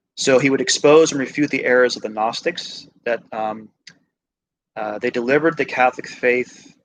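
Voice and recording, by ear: A man at a medium pitch, moderate pace and ordinary pitch variation.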